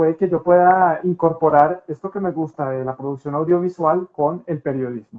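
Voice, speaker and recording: Delivered at a fairly slow pace, the speech shows ordinary variation in pitch. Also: man. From Colombia, Pereira. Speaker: TV news anchor. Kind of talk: interview.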